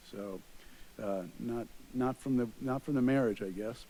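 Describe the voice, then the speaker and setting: Here a man talks with a Long Island accent. He keeps a moderate pace. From Long Island, New York. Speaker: police chief. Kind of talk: public introduction at council meeting. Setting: city council meeting.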